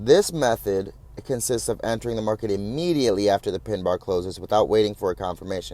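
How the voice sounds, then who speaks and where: With a dark, mellow tone and fairly low pitch, a man speaks at a very fast pace with ordinary pitch variation. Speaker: trading instructor. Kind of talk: lecture.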